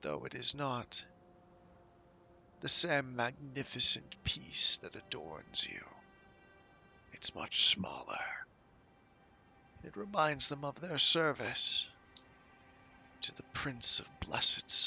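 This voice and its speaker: A man whispering in a put-on character voice at a fairly slow pace, with long, frequent pauses, big swings in loudness and faint music in the background. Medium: actual play. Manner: wry, scholarly.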